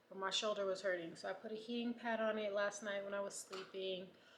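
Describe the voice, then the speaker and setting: With audible room echo, a woman talks at a fairly quick pace and medium pitch in a monotone, flat intonation. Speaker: vlogger with breast cancer. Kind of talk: casual vlog diary.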